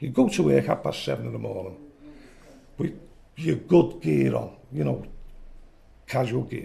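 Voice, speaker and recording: With a Liverpool accent, a man talks at a moderate pace. His very deep, low voice makes very wide pitch swings. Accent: Scouse. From Liverpool, England. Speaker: retired electrician telling life story. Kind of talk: oral history interview. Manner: animated.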